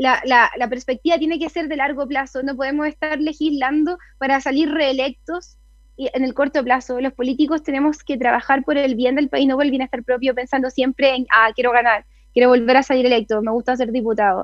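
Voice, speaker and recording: A woman with a high voice speaks in a Chilean accent, her intonation fairly even. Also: fairly quick pace. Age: 20s. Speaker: political candidate and lawyer. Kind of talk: radio interview. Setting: video call into radio show.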